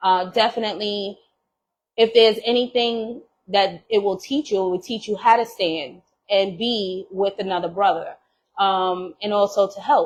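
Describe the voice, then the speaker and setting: Speaking at a fairly slow pace with a New York accent, this voice has an animated tone and ordinary pitch variation. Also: woman. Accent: New York accent, unchanged. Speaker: podcast co-host. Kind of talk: casual chat.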